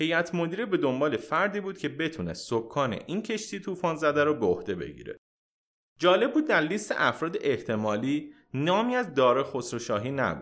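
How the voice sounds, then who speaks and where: This very clean recording has a silent background and moderate pacing. The voice carries vocal fry and very wide pitch swings. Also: man. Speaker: podcast host. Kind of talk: scripted narration.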